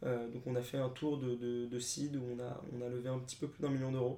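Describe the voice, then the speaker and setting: A man speaks at a medium pitch with a dark, mellow tone. His intonation is monotone and flat, and the room echo is audible. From France, Paris. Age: 20s. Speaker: startup co-founder. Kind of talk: interview.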